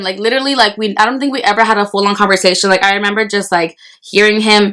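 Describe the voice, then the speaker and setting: A loud woman's voice, medium in pitch, bright and sharp in tone, with fairly even intonation and a very fast pace. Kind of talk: casual storytelling to camera while eating. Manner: loud, fast, repetitive; talks with mouth full.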